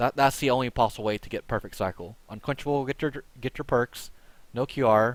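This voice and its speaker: A man's medium-pitched voice with ordinary pitch variation, on a very clean recording with a silent background. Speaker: gaming streamer. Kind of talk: tutorial. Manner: fast; halting, repeats words.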